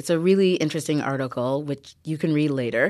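A woman speaks with a Canadian accent. The recording is very clean, with a silent background. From Canada, Newmarket (born in Ghana). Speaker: podcast host. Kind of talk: scripted intro; interview.

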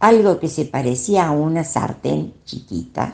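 Very slowly, a woman speaks with a very deep, low pitch and very wide pitch swings. Her tone is dark and mellow. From Argentina, Córdoba city. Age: 80s+. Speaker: retired teacher and traveler. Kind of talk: recorded voice messages telling her story. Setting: WhatsApp audio messages.

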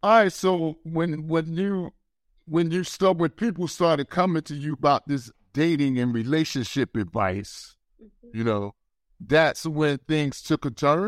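A man with a normal speaking voice talks at a fairly slow pace, his pitch fairly high and his intonation lively. The recording is very clean and dry, close with no echo and a silent background. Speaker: podcast host. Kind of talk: interview conversation.

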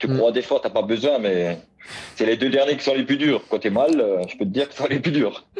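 Keeping his loudness very even, a man speaks at a fairly quick pace and a medium pitch. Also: ordinary pitch variation. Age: 30s. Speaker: blind para athlete. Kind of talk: interview. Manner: halting, many repetitions.

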